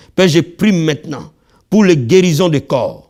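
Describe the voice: On a very clean recording with a silent background, a man speaks at a fairly slow pace in a slightly mellow tone, his pitch fairly high and his intonation lively.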